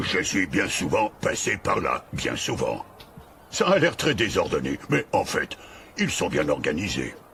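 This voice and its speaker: A man's put-on character voice at a fairly slow pace, over clear background noise. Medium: read story. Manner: easygoing, worldly.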